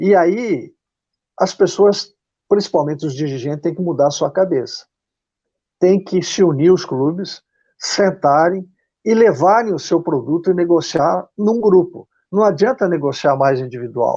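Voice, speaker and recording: A man speaks at a high pitch with ordinary pitch variation and a fairly slow pace. Long, frequent pauses break his speech over a quiet background. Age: 70s. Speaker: football club executive. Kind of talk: interview. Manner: halting, repeats words.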